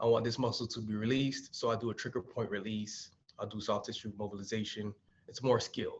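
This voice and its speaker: A man talks at a very fast pace in an American accent. His voice is somewhat breathy, with monotone, flat intonation. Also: medium pitch for a man. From Miami, Florida. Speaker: physical therapist. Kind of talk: webinar presentation.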